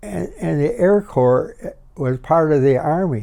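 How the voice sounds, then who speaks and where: A man with a Midwestern accent talks at a fairly slow pace in a dark, mellow tone. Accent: American Midwestern. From Harvey, Illinois (Chicago area). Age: 80s+. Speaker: war veteran. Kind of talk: interview answer.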